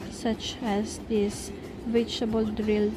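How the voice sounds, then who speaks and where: Over music in the background and audible room echo, a woman speaks at a very slow pace in a monotone, flat intonation. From Philippines. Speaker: cooking vlogger. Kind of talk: cooking tutorial.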